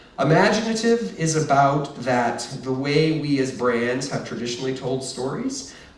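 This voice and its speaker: Room echo is audible in this clip, along with noticeable background noise. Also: man. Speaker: marketing executive giving a keynote. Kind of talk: conference presentation. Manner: fast; hesitant fillers.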